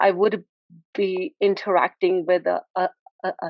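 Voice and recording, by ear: A woman speaks in a medium pitch with little pitch movement. The sound is dry and close, with no echo.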